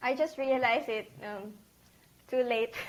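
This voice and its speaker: Talking at a moderate pace, a woman with a Filipino accent speaks in a high pitch. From Philippines (Isabela, northern Luzon). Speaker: accountant. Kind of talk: interview. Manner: halting.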